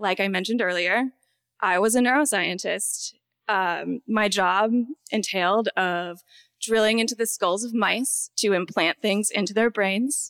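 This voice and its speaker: A woman with an unremarkable speaking voice talks at a fairly slow pace and medium pitch, with ordinary pitch variation and very even loudness, in a dry, close sound with no echo on a very clean recording with a silent background. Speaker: neuroscientist storyteller. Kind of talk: personal story told on stage. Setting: live stage with audience.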